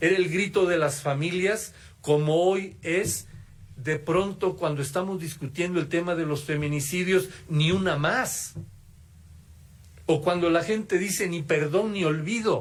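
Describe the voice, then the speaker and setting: A man at a high pitch and fairly slow pace, with ordinary pitch variation and audible room echo. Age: 70s. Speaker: former student activist, keynote speaker. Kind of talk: keynote lecture. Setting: auditorium with audience. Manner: halting, with false starts.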